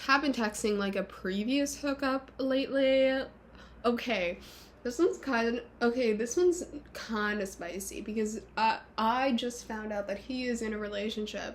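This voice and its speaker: Her pitch fairly high with ordinary variation, a woman speaks at a moderate pace. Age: 20s. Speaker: vlogger. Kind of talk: casual monologue vlog. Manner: animated.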